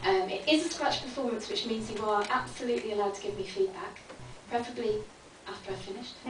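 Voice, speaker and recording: A woman's fairly high voice at a very fast pace, lively in intonation, over noticeable background noise. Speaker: spoken word poet. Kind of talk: casual talk to a live audience. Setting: live performance space.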